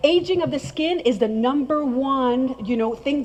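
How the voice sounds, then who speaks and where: Noticeable background noise sits behind a woman with a French accent, whose high pitch, animated tone and ordinary pitch variation carry her words. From France. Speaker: skincare trainer. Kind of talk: presentation to audience.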